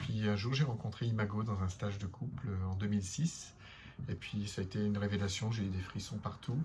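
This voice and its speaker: Fairly low male speech, delivered fairly quickly, its pitch varying in an ordinary way. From northern France (Lille). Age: 50s. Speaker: couples therapist. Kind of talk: self-introduction monologue. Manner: halting, many hesitations.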